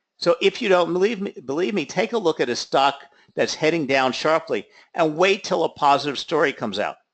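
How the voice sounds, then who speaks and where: With lively intonation and a high voice, a man speaks at a fairly quick pace over a quiet background. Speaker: trading educator. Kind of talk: lecture.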